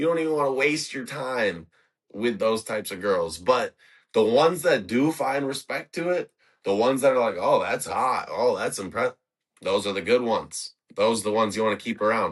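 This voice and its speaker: Over a quiet background, a man speaks at medium pitch in an animated tone. His pace is fairly quick, and his intonation is lively. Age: 20s. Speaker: sober bartender, podcast host. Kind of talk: casual chat.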